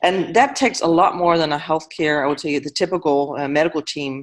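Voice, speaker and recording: A woman with a slight Danish accent, a very deep, low voice and a very fast pace. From Denmark. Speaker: panel moderator. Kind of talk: panel discussion. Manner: hesitant, many fillers.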